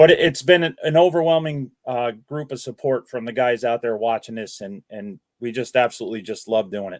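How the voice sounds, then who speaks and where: In an ordinary speaking voice with an American accent, the speaker moves at a fairly quick pace with hardly any pauses, ordinary pitch variation and big swings in loudness, the sound dry and close with no echo. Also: man, medium pitch for a man. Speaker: fishing video creator, father of young angler. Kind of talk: casual podcast interview.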